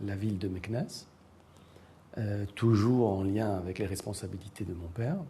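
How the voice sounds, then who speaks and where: A man speaks at a fairly slow pace in a fairly low, somewhat breathy voice. His tone is dark and mellow, with ordinary pitch variation. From Morocco. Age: 60s. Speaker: writer and university professor. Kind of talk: interview. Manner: hesitant, many fillers.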